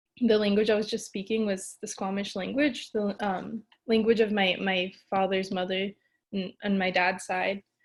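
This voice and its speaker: A woman with an American accent, at a moderate pace, in monotone, flat intonation. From Pacific Northwest, British Columbia and Washington. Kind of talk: webinar talk. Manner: many filler hesitations.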